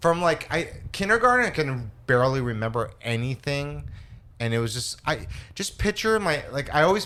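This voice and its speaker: Bright and sharp in tone, a man with a Californian accent talks at a moderate pace, his fairly high pitch making very wide swings. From Los Angeles. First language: Spanish. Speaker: comedian. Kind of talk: casual chat. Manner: halting.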